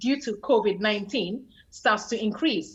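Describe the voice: Fairly slow delivery in a fairly bright tone with lively intonation. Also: woman.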